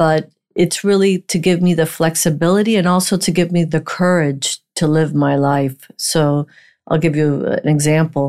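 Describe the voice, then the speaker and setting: Speaking at a moderate pace, a woman has a fairly low pitch, a dark, mellow tone, and fairly even intonation, with very even loudness. The recording is very clean, with a silent background. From Miami, Florida (born in Puerto Rico to Cuban parents). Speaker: bankruptcy and litigation attorney. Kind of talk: interview.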